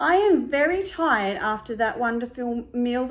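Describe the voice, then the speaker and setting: She speaks in a put-on character voice with a high pitch. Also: moderate pace. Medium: read story.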